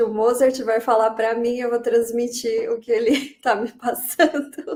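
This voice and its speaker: Speaking at a fairly high pitch, a woman takes a fairly slow pace. It's a normal speaking voice. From Brazil. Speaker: co-author and screenwriter. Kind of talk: live interview, relaying questions.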